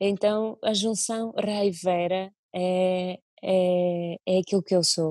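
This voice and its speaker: A woman with a Russian accent speaks at a very slow pace and a medium pitch, with a dark, mellow tone, a monotone, flat intonation and very even loudness. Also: quiet background, dry sound with no echo. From Russia (Moscow). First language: Russian (speaking Portuguese). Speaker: violinist and singer; interviewee. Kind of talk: interview. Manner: halting. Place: home room. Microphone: earbuds.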